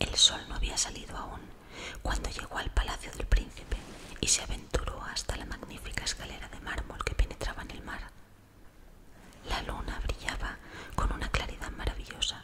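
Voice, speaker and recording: A woman whispers in a gentle tone with long, frequent pauses and big swings in loudness against noticeable background noise. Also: moderate pace. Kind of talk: sleep story. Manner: whispered; soft-spoken, gentle.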